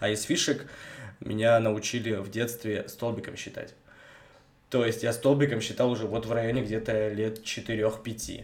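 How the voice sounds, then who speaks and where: With audible room echo, a man speaks in a monotone, flat way at a fairly slow pace, leaving long, frequent pauses. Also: medium pitch for a man. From Russia, Vologda region (Cherepovets area). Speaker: podcast co-host. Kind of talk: casual chat.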